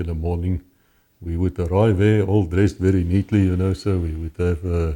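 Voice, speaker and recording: In a very clean recording with a silent background, a man talks at a fairly quick pace in a very deep, low voice with a dark, mellow tone and monotone, flat intonation. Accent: South African. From South Africa. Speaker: former policeman and author. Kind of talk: interview testimony.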